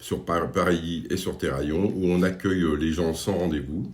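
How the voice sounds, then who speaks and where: A man speaks at a very deep, low pitch and moderate pace, somewhat breathy. Audible room echo surrounds the voice. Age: 60s. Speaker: job workshop facilitator. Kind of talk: staff interview. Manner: hesitant, many fillers.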